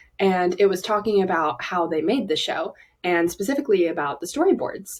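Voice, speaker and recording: With a Southern accent, a woman talks at a fairly quick pace and with lively intonation. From US South, Alabama. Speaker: aspiring animator. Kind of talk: personal vlog monologue. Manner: casual, many fillers.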